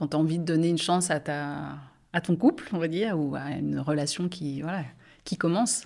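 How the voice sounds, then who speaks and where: A woman speaks at a fairly quick pace in a very deep, low pitch with vocal fry. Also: ordinary pitch variation. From France, Angers. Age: 40s. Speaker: nurse. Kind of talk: casual chat.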